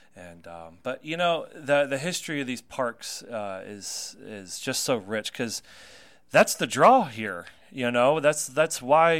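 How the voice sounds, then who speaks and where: A man talks at a fairly slow pace. His intonation is lively. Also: very clean recording, silent background. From North Carolina. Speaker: radio host and tour guide. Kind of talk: casual chat. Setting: studio.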